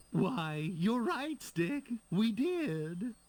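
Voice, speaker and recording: Putting on a character voice, a man talks with high pitch and very wide pitch swings. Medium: video game. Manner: wheedling, martyred.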